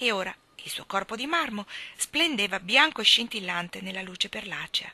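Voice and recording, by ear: Lively intonation runs through reading aloud done in a natural voice.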